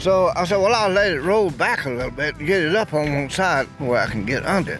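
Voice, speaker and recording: A man's high-pitched voice with lively intonation at a fairly quick pace, music playing in the background. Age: 90s. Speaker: classic Bronco owner and off-roader. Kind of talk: interview answer.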